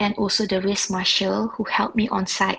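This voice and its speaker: The speaker's voice has vocal fry and moves at a moderate pace. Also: woman. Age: 40s. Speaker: amateur triathlete. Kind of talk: recorded testimony.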